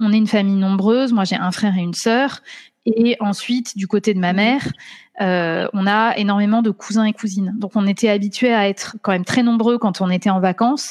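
A woman talks at a fairly quick pace with medium pitch and fairly even intonation. She has an ordinary speaking voice, and the background is quiet. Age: 30s. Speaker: doctoral student in law. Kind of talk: interview.

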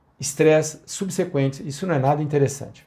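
Against a silent background in a very clean recording, a man talks at a fairly high pitch with fairly even intonation. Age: 60s. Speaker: financial consultant. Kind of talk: solo commentary podcast.

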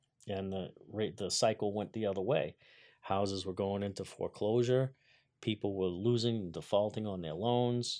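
In a quiet background, a man with an unremarkable speaking voice, fairly low in pitch, talks fairly quickly with fairly even intonation. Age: 50s. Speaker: carpenter, business owner. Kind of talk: interview. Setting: studio.

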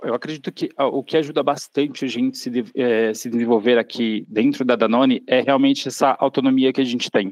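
In an ordinary speaking voice, a man talks at a fairly quick pace and medium pitch with fairly even intonation, hardly any pauses and a dry, close sound with no echo. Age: 30s. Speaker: marketing intern. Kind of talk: interview conversation.

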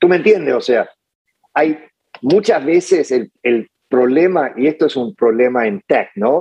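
At a fairly slow pace, a man speaks in a fairly high pitch with a dark, mellow tone and lively intonation. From Chile. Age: 50s. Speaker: lawyer and entrepreneur. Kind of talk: interview conversation. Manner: halting, many fillers.

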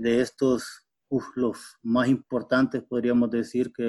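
A man speaks at a medium pitch. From western Honduras. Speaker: biologist. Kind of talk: interview. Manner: halting, with fillers.

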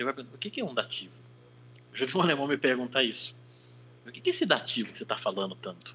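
At a very fast pace, a man talks with lively intonation and big swings in loudness, broken by long, frequent pauses. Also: medium pitch for a man. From Brazil. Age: 30s. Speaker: language teacher and interpreter. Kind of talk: casual chat.

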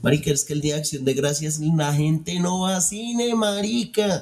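An ordinary speaking voice. The intonation is lively. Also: man. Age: 40s. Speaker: film podcast host, former metal musician. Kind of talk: casual chat. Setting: live stream.

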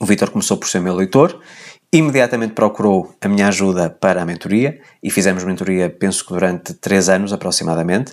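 A man's very deep, low voice in a European Portuguese accent, fairly quick, with ordinary pitch variation. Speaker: podcast host, personal development coach. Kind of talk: solo monologue, personal update.

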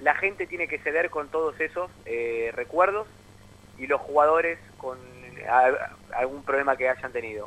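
Fairly slow speech from a man, with ordinary variation in pitch. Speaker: sports journalist. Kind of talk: sports radio discussion.

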